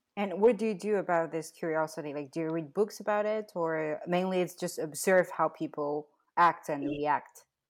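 Her voice is a plain, everyday voice, and this woman speaks at a moderate pace with hardly any pauses. Her pitch is fairly low, with ordinary pitch variation. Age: 30s. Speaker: podcast host. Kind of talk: casual interview.

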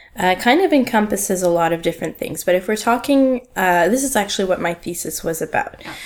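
A woman with a Canadian accent at medium pitch, lively intonation, a very fast pace and hardly any pauses, over noticeable background noise. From Canada, Ottawa. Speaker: museology graduate. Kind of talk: casual chat.

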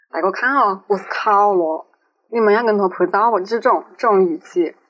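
A woman is speaking. Her pace is fairly slow. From Changsha, Hunan, China. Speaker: podcast co-host, student. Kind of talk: casual chat.

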